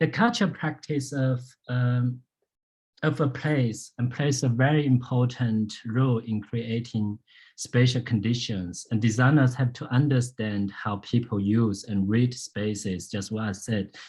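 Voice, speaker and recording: Somewhat breathy speech in a Chinese accent moves at a fairly slow pace against a quiet background. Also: man, medium pitch for a man, ordinary pitch variation. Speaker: landscape architect and lecturer. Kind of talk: public lecture Q&A. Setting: public talk with audience. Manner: halting, many fillers.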